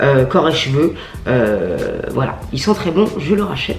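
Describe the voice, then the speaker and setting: Over noticeable background noise and audible room echo, a woman talks at a fairly slow pace in an animated tone with very wide pitch swings. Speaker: beauty vlogger. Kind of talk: casual product review vlog.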